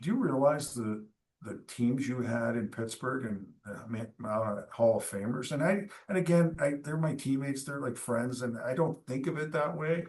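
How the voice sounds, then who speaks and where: A man speaks at a moderate pace with a Canadian accent, using ordinary pitch variation in a normal speaking voice. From eastern Canada. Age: 60s. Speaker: former hockey goalie and team executive. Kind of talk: casual interview.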